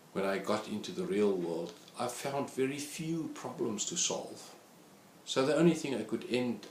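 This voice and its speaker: There is audible room echo as a man speaks with a South African accent. He moves at a moderate pace, and his pitch swings very widely. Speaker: statistics lecturer. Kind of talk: course introduction talk.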